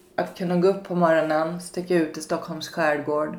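A woman with a fairly low voice speaks amid audible room echo. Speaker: podcast host, recovering alcoholic. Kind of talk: casual interview.

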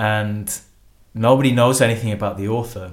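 In a room with audible echo, a man with a Yorkshire accent speaks at a medium pitch with fairly even intonation. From Yorkshire, northern England. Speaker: historian. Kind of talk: interview.

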